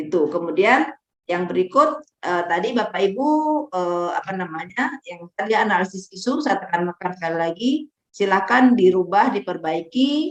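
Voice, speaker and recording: A woman's medium-pitched voice at a moderate pace, with lively intonation. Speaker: training facilitator. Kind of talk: online training lecture. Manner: stern, forceful.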